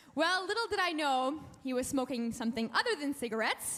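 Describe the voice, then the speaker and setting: Over noticeable background noise, a woman talks at a moderate pace with a high pitch and lively intonation. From Canada, Alberta (francophone community). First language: French. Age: young. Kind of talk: testimony. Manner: animated.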